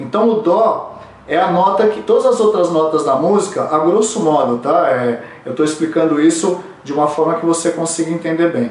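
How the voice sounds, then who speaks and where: A high-pitched man is speaking. Audible room echo and noticeable background noise surround him. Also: ordinary pitch variation, moderate pace. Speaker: vocal coach. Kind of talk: tutorial.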